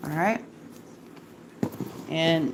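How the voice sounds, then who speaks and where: Over noticeable background noise, a woman talks at a fairly slow pace. Her voice is fairly low, with ordinary pitch variation. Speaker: home cooking livestreamer. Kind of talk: cooking livestream. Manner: loud; casual, chatty.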